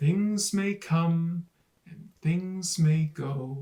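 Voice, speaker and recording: A man uses a put-on character voice at a high pitch. His intonation is fairly even. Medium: read story. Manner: soft, tender.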